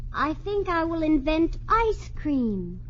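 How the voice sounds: A woman does a put-on character voice with a high pitch, big pitch swings and a slow pace.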